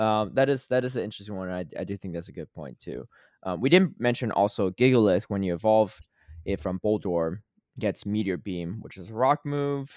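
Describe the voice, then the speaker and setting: A man talks at a fairly quick pace with an ordinary speaking voice and fairly low pitch. His loudness swings widely, and the sound is dry and close with no echo. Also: lively intonation, quiet background. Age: 30s. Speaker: podcast host. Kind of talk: casual chat.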